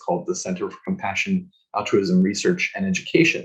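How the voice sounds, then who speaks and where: Somewhat breathy, a man talks at a very fast pace. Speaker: psychologist, guest expert speaker. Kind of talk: presentation/webinar talk.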